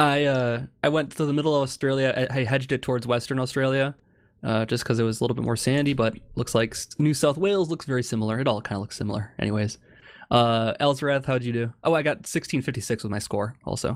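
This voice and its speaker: Someone talks at a very fast pace in a Wisconsin accent, with ordinary pitch variation. The recording is very clean, with a silent background. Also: man, medium pitch for a man. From Wisconsin, US. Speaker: gamer. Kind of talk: casual chat while gaming. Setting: voice chat call.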